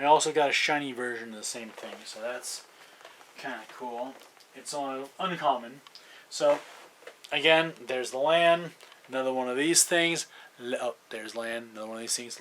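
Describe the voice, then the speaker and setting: A man at medium pitch talks at a moderate pace, with ordinary pitch variation and big swings in loudness. Long, frequent pauses break up his speech over noticeable background noise. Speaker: card collector opening packs. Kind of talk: unboxing commentary. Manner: hesitant with fillers.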